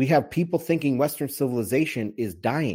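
Heard over a silent background in a very clean recording, this man speaks at a fairly high pitch with vocal fry. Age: 40s. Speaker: bitcoin and macro podcast host. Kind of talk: solo commentary livestream. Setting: livestream on Telegram and Twitter Spaces. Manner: animated.

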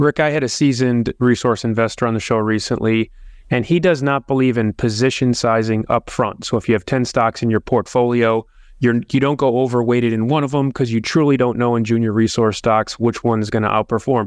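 In a dry, close recording with no echo and a quiet background, a man with an unremarkable speaking voice talks at a fairly quick pace, medium in pitch, with fairly even intonation and very even loudness. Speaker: podcast host. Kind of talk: interview questions.

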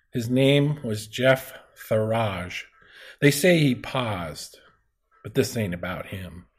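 Speaking very slowly with long, frequent pauses, a man with a medium pitch sounds somewhat breathy, his intonation lively and his loudness swinging widely. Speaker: podcast host. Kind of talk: casual conversational podcast discussion.

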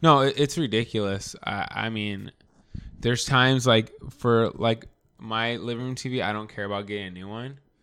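A man's medium-pitched voice at a moderate pace, fairly even in intonation but with big swings in loudness. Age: 30s. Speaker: podcast co-host. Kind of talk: casual chat. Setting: home recording. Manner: talkative.

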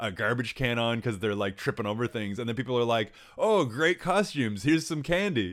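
At a fairly quick clip comes a normal speaking voice. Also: man. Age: 40s. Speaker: podcast co-host. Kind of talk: casual chat.

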